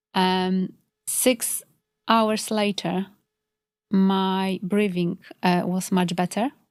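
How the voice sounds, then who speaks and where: A woman with a Polish accent speaks at a medium pitch in a flat monotone, very slowly, with long, frequent pauses. The recording is very clean, with a silent background. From Poland. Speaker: complementary health practitioner. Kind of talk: podcast interview. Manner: hesitant, many fillers.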